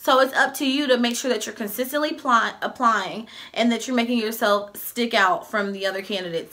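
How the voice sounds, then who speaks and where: A woman's fairly high, fairly quick voice with ordinary pitch variation, against noticeable background noise. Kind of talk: casual advice vlog. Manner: fast.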